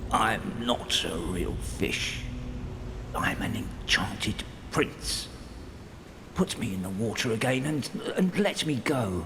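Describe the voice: The man puts on a character voice at medium pitch, speaking fairly slowly with long, frequent pauses. Loud background noise runs behind him.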